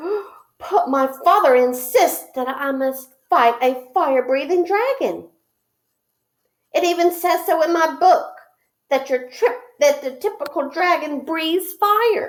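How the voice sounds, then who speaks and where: In a squeaky, put-on character voice, the speaker goes at a fairly slow pace with lively intonation. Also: woman, extremely high pitch for a woman. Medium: read story. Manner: stammering, nervous.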